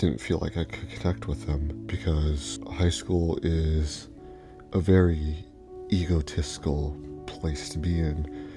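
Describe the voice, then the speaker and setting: Whispering and soft-spoken, a man talks at a very slow pace. Music plays in the background. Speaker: YouTuber and Lego fan. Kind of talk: personal story voice-over. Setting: indoor home recording at night, late voice-over. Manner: soft-spoken, near whisper.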